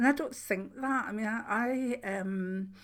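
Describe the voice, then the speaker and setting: Moderate-paced female speech with ordinary rises and falls in pitch. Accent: Scottish. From Scotland. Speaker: spiritual channel host, clairvoyant. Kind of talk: casual chat. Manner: informal, hesitant with fillers.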